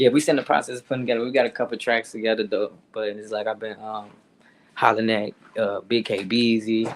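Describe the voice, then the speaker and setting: A man talks at a very fast pace, his pitch medium and his intonation fairly even. His loudness swings widely. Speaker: rapper. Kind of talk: casual interview. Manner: fast-talking.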